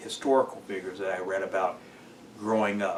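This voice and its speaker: With an American accent, a man of fairly low pitch talks at a fairly quick pace with fairly even intonation over noticeable background noise. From Perris, California. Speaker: city council member and lawyer. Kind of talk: interview answer.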